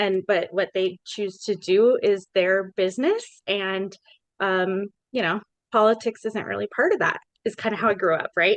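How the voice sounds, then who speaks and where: A woman with an American accent has a plain, everyday voice at medium pitch. She keeps a moderate pace and fairly even intonation, in a dry, close sound with no echo. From Colorado, Larimer County. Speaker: podcast host, social worker. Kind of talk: podcast interview.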